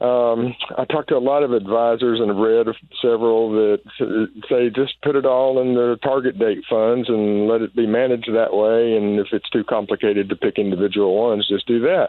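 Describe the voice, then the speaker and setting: A man talks at a moderate pace and medium pitch. His loudness stays very even, and his intonation is fairly even. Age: 60s. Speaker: caller. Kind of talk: call-in question. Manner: halting, many fillers.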